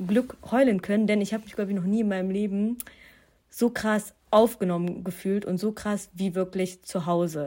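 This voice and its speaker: A woman with an unremarkable speaking voice talks at a moderate pace in a medium pitch, with ordinary pitch variation. The recording is very clean, with a silent background. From Germany, Duisburg. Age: 20s. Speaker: student and young media presenter. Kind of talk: interview conversation.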